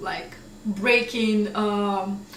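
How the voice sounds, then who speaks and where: A woman speaks at a fairly high pitch. Noticeable background noise and audible room echo come through. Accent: Russian. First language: Russian. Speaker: English teacher. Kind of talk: tutorial. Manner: casual, conversational.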